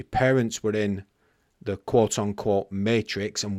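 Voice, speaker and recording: On a very clean recording with a silent background and a dry, close sound with no echo, a man speaks fairly slowly at a fairly low pitch. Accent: English. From England. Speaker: podcast host. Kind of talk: podcast monologue; interview.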